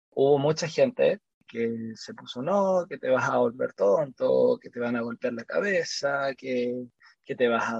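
A man with a Chilean accent speaks at a fairly slow pace, the sound dry and close with no echo. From Chile, Santiago. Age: 30s. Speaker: kickboxing coach. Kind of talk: interview. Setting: remote call.

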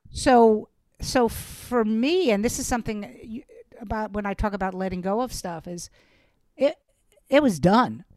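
In a Brooklyn accent, a woman with a fairly high pitch speaks at a moderate pace with lively intonation, big swings in loudness and long, frequent pauses. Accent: Brooklyn New York. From Brooklyn, New York. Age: 60s. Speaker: stand-up comedian. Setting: video call. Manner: animated.

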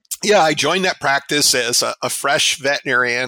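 A man's bright, sharp tone with ordinary pitch variation, in a dry, close sound with no echo. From northern New Jersey. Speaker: veterinary science professor. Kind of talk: casual interview. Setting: remote call from lake house.

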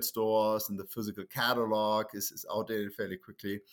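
A man with a German accent, medium pitch and moderate pace, on a very clean recording with a silent background. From Germany. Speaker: entrepreneur. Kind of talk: casual interview.

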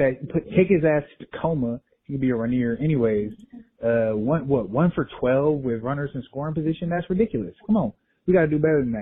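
A man with a normal speaking voice talks at a fairly quick pace, fairly high in pitch, with lively intonation. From Texas. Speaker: listener leaving voicemail. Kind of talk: voicemail. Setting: phone voicemail.

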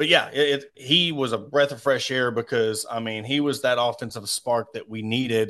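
A man with a Southern US accent speaks at a moderate pace in a medium pitch, with fairly even intonation and hardly any pauses. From Arkansas. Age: 40s. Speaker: sports podcaster. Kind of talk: casual sports interview.

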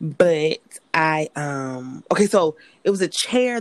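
The speaker has an American accent and very wide pitch swings. The sound is dry and close, with no echo. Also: woman. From US South, Greenville, South Carolina. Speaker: entrepreneur and aspiring actress. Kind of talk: casual chat.

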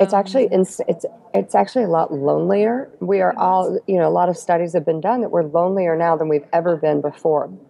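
Over music in the background, a woman with a fairly low pitch talks at a very fast pace with hardly any pauses and ordinary pitch variation. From US Midwest (Cincinnati, Ohio). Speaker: travel editor. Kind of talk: interview. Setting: video call.

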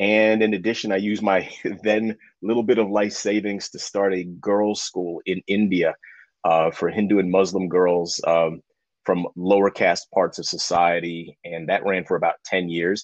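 Set against a quiet background, a man with an American accent and a very deep, low pitch talks at a moderate pace with fairly even intonation, recorded dry and close with no echo. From New York City (Spanish Harlem). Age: old. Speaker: lawyer and educator. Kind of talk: interview. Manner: halting, many fillers and repeats.

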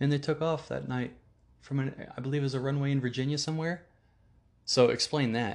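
A man with an American accent, fairly high-pitched, fairly quick in pace, with fairly even intonation and long, frequent pauses. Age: 30s. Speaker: podcast host. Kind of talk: casual monologue.

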